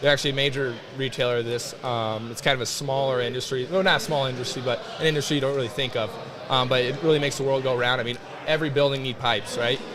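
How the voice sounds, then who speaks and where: A man speaks very fast at a medium pitch. Noticeable background noise and audible room echo fill the recording. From US Midwest, eastern Iowa. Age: 20s. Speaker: college football player. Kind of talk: casual interview. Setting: loud weight room, live stream.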